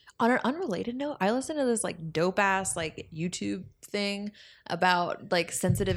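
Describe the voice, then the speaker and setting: A woman with an unremarkable speaking voice talks at a moderate pace with lively intonation on a very clean recording with a silent background. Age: 20s. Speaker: podcast host. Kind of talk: casual chat. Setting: home studio.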